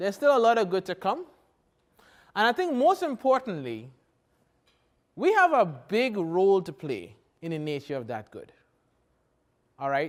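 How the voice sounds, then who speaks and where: In a very clean recording with a silent background, a man with a strong Trinidadian accent speaks at a moderate pace in a high pitch, his pitch swinging very widely and his loudness shifting a lot, with long, frequent pauses. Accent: thick Trinidadian. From Trinidad and Tobago. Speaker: professor. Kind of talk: keynote lecture.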